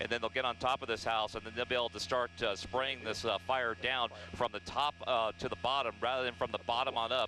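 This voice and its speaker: A man talking very fast at a medium pitch, with ordinary pitch variation and noticeable background noise. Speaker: helicopter news reporter. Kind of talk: live aerial news report.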